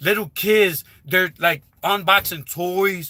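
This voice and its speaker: An animated man's voice with a bright, sharp tone, in a very clean recording over a silent background. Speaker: YouTuber giving channel growth advice. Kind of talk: live stream talk. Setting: live stream with headset.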